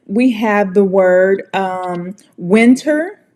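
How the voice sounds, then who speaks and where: With an American accent, a woman speaks in an animated tone. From United States. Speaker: English pronunciation teacher. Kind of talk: tutorial.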